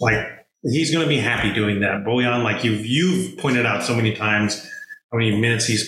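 The intonation stays fairly even, and audible room echo can be heard. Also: man. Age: 30s. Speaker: sports podcast host. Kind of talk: casual chat.

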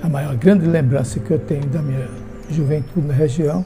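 A man talks at a moderate speed with ordinary pitch variation while background noise is noticeable. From Sergipe, Brazil. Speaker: retired teacher and army veteran. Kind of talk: interview.

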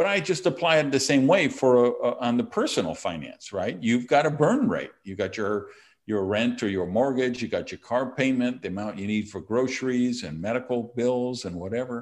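Against a quiet background, a man with an American accent uses an ordinary speaking voice at medium pitch, moving at a moderate pace with lively intonation and hardly any pauses. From Wisconsin, US Midwest. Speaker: entrepreneur and author. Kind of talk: casual interview.

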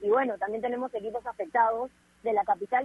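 Talking at a very fast pace, a woman with a fairly high pitch keeps a fairly even intonation. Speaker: sports radio co-host. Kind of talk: casual chat.

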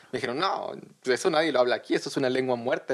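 A man speaks at a medium pitch. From Mexico, Tabasco (Villahermosa). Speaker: guest sharing immigrant experience. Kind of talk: casual chat.

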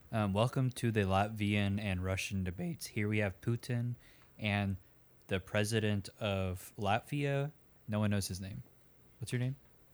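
An ordinary speaking voice from a man with an American accent, fairly low in pitch and fairly slow, on a very clean recording with a silent background. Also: ordinary pitch variation. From Texas. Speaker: comedian playing debate moderator. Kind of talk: comedy sketch debate.

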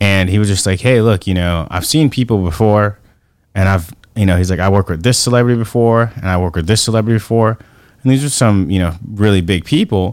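A man's voice at a fairly quick pace, with ordinary pitch variation and a plain, everyday voice. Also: fairly low pitch for a man. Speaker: podcast host. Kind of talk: casual chat.

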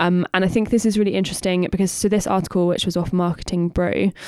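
In a Bristol accent, a woman speaks at a fairly low pitch with fairly even intonation, the sound dry and close with no echo. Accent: Bristolian English. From Bristol, England. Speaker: podcast co-host, marketer. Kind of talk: casual chat.

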